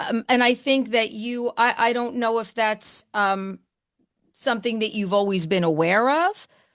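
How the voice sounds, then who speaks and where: At a fairly slow pace, a woman with a New Jersey accent talks in a fairly high pitch with ordinary pitch variation. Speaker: radio host. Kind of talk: interview. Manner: animated; loud.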